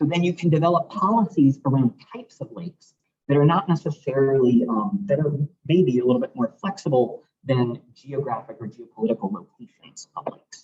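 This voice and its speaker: Somewhat breathy and fairly high, a man's voice moves at a fairly quick pace with very wide pitch swings and big swings in loudness, in a dry, close sound with no echo. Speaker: research scientist giving seminar talk. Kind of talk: lecture. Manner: fast.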